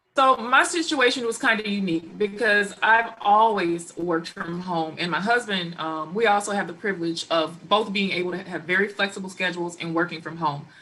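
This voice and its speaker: Amid noticeable background noise, a woman speaks at a fairly quick pace and medium pitch, with ordinary pitch variation and hardly any pauses. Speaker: life coach, blended family expert. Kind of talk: panel talk show discussion. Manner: loud.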